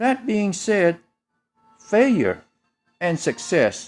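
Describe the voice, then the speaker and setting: A man speaks at a very slow pace with music in the background. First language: Chinese. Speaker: motivational speaker. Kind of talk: motivational talk.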